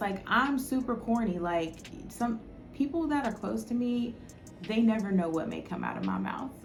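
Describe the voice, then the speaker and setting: A woman speaks with lively intonation and a fairly high pitch. Music plays in the background, and the room echo is audible. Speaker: spiritual life coach and YouTuber. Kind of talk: casual talk to camera. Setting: talking to camera alone. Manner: halting, sometimes stutters.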